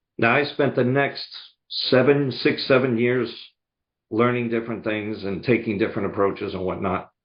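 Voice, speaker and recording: A man with a slight Boston accent talks at a medium pitch and a moderate pace, his intonation fairly even. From US Northeast, outside Boston, Massachusetts. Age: 70s. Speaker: sales coach and speaker. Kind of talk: podcast interview.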